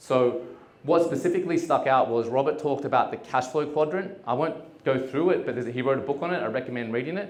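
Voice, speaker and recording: Talking at a very fast pace, a man with an Australian accent uses ordinary pitch variation in a room with audible echo. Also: fairly high pitch for a man. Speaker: entrepreneur. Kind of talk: conference talk. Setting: stage with audience. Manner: casual, with many fillers.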